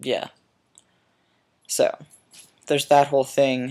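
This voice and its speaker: The man's voice sits at a medium pitch. It stays monotone and flat throughout. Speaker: video blogger. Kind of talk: casual vlog monologue. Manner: hesitant, many fillers.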